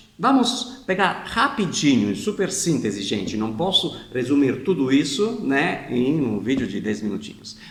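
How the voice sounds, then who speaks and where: A man with a non-native accent swings his pitch very widely. Noticeable background noise sits behind him. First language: not Portuguese (speaking Portuguese). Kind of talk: explanatory video talk. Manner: informal, with hesitations.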